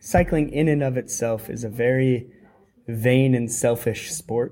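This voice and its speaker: Speaking in a Californian accent, a man keeps a medium pitch and fairly even intonation. His tone is dark and mellow, and his pace is fairly slow. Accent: American (Californian). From California, US. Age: 30s. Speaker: professional track cyclist. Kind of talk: interview. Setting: at a cycling event. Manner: halting.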